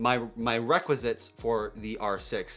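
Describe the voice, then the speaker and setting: Over music in the background, a man with a medium pitch speaks in an enthusiastic tone. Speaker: photographer and filmmaker, camera reviewer. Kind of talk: tech news vlog.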